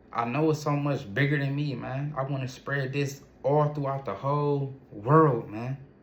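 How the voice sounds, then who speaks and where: A man's somewhat breathy voice with fairly even intonation, moderate pace and hardly any pauses, in audible room echo. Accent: American. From Ohio, US. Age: 30s. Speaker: entrepreneur and vlogger. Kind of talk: personal testimony monologue. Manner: halting, repetitive restarts.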